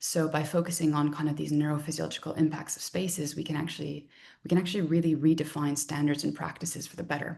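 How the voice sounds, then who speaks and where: A woman's very deep, low, dark and mellow voice with vocal fry, flat monotone intonation, big swings in loudness and a very fast pace. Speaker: design researcher and lecturer. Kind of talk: research talk.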